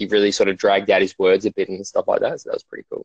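The sound is dry and close with no echo, carrying a voice with an Australian accent. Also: man. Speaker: podcast guest.

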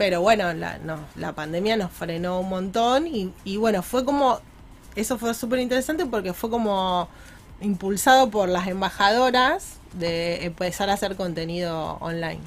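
At a fairly slow pace, a woman speaks at medium pitch with ordinary pitch variation. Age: 40s. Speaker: community ambassador for women's professional network. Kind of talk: radio interview. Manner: halting, many repetitions.

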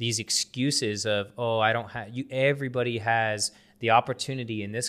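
On a very clean recording with a silent background, a man with an American accent and an ordinary speaking voice talks fairly quickly at a medium pitch with fairly even intonation. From US. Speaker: podcast host, loan officer. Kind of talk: casual chat.

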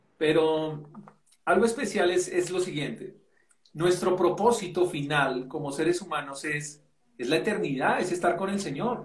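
A high-pitched man at a fairly slow pace with ordinary pitch variation. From Colombia, Bogotá. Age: 30s. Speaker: pastor. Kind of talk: casual interview.

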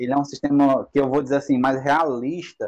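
A man with a normal speaking voice talks at a moderate pace in a fairly high pitch. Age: 20s. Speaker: tabletop RPG game master. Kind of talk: casual chat.

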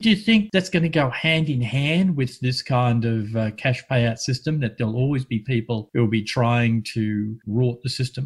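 Somewhat breathy and medium in pitch, a man talks at a moderate pace with ordinary pitch variation and hardly any pauses. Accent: Australian. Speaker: community radio host. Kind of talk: radio chat. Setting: remote, separate rooms due to lockdown.

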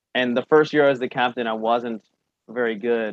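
A man speaks in a normal speaking voice at medium pitch. His intonation stays fairly even at a moderate pace. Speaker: comedian and content creator. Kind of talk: casual interview chat.

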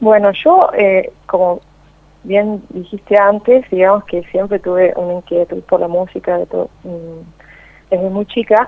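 A woman speaks at a fairly slow pace with medium pitch and fairly even intonation. Long, frequent pauses break up her speech. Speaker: opera and gospel singer. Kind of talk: interview.

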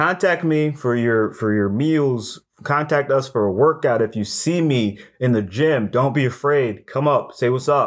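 In a normal speaking voice, a man talks at a fairly slow pace with a medium pitch, ordinary pitch variation and very even loudness, on a very clean recording with a silent background. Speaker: personal trainer. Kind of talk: angry rant. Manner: loud, scolding, barking short commands; sarcastic, worked-up, mocking.

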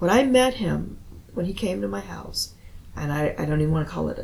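Woman against noticeable background noise. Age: 60s. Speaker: poet. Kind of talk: casual chat.

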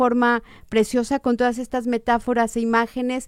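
The sound is dry and close, with no echo. A woman talks at a high pitch. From Mexico, Guadalajara. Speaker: book reviewer on radio. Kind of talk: radio book interview. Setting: radio studio.

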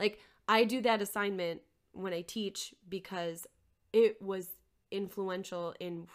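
A woman with an American accent has a plain, everyday voice at medium pitch and speaks at a moderate pace with fairly even intonation. Her loudness swings widely on a very clean recording with a silent background. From Minnesota, Twin Cities area. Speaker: nonprofit CEO and artist. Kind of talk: casual interview conversation.

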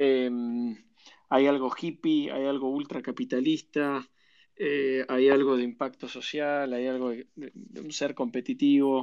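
In a Rioplatense accent, a man speaks at a medium pitch and a fairly slow pace, his intonation fairly even and his loudness swinging widely. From Argentina, Buenos Aires. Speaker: venture capital investor. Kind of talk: interview.

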